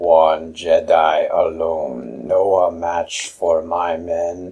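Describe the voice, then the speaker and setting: Using a put-on character voice, a man speaks very slowly in a raspy, very deep, low register. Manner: broken English.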